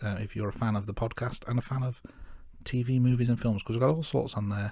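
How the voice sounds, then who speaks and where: A man with an English Midlands accent speaks very fast at a medium pitch, his voice somewhat breathy with a dark, mellow tone and fairly even intonation, on a very clean recording with a silent background. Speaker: podcast co-host. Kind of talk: podcast outro; casual chat.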